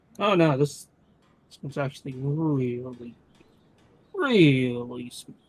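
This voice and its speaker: In a put-on character voice with a low-to-middle pitch, the speaker goes at a fairly slow pace with long, frequent pauses. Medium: actual play. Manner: rambling, stammering.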